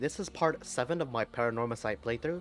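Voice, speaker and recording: A man talks rather quickly as music plays in the background. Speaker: gamer voicing game characters. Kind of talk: casual let's play commentary.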